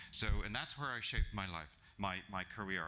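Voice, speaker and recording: A man with a non-native accent, fairly low in pitch and bright and sharp in tone, at a moderate pace with ordinary pitch variation. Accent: non-native foreign. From South Africa. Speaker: HR executive, guest speaker. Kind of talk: business presentation. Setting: breakfast event talk to live audience. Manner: hesitant, many fillers.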